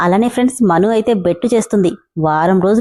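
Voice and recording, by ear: Someone reads aloud in a natural voice, with ordinary pitch variation over a quiet background.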